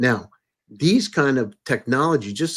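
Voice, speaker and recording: A man with a plain, everyday voice speaks at a medium pitch and moderate pace on a very clean recording with a silent background. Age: 60s. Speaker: podcast host and entrepreneur. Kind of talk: interview conversation. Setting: live stream.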